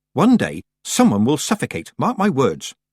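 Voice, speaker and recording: A man does a growling, put-on character voice at a fairly high pitch with very wide pitch swings and a moderate pace. The recording is very clean with a silent background and a dry, close sound with no echo. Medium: read story. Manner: sniffy, disapproving.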